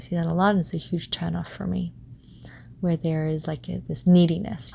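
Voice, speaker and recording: A soft-spoken voice at a moderate pace. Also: woman. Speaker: podcast host. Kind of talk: personal reflective monologue.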